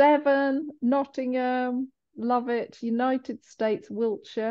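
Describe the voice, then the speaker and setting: A woman with a high pitch. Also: quiet background. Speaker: webinar host. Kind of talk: event hosting, reading chat welcomes. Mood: warm, cheerful, welcoming. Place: home room. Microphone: video call.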